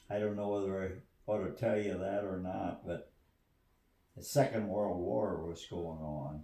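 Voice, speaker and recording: A man speaks at a fairly slow pace with a very deep, low pitch. His tone is dark and mellow, and somewhat breathy. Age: 80s+. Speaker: retired farmer. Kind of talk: casual storytelling in family conversation.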